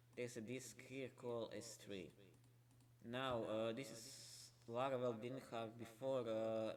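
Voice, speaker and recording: A man speaks at a moderate pace in a medium pitch, his intonation fairly even, with audible room echo around him. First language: not English. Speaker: software developer streamer. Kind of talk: live coding stream tutorial. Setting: late night live stream. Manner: halting, many fillers.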